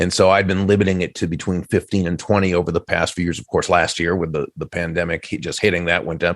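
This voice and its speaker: A man with a very deep, low pitch speaks very fast in a monotone, flat intonation. The recording is very clean with a silent background and a dry, close sound with no echo. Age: 60s. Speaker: keynote speaker and author. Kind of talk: podcast interview. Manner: hesitant, with filler words.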